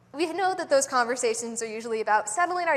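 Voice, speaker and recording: A woman's very fast, lively-toned delivery over noticeable background noise. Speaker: lay preacher. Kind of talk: sermon. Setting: church.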